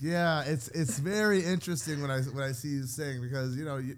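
The speaker sounds animated, moving at a fairly quick pace. Pitch variation is ordinary. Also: man. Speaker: podcast co-host. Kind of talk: casual chat. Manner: animated, joking.

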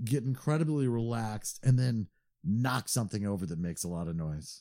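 With a dark, mellow tone and lively intonation, the speech flows at a moderate pace. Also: man, very clean recording, silent background. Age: 40s. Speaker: podcast co-host. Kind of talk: casual chat.

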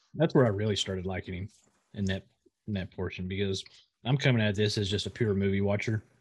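A somewhat breathy man's voice, fairly low and fairly even in intonation, very fast yet broken by long, frequent pauses. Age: 30s. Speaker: podcast co-host and streamer. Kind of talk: casual chat. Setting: video recording.

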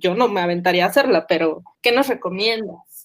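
Using an unremarkable speaking voice, a woman talks at a moderate pace with ordinary pitch variation. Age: 30s. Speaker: podcast host. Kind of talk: casual chat.

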